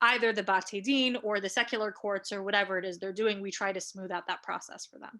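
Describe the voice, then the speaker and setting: A woman's bright, sharp voice at medium pitch with an American accent, very fast with hardly any pauses, fairly even intonation, big swings in loudness, and a very clean recording over a silent background. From US Midwest, Cleveland, Ohio. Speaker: rabbinic educator and advocate. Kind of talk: interview. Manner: hesitant, many fillers and repeats.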